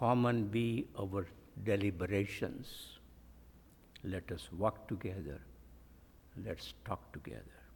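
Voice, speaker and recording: With vocal fry and a fairly low pitch, a man speaks at a very slow pace, showing ordinary pitch variation and long, frequent pauses. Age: 90s. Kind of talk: sermon.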